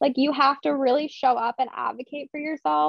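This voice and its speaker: A woman's high voice in an American accent at a fairly quick pace. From Philadelphia. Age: 30s. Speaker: chronic illness content creator. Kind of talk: casual chat.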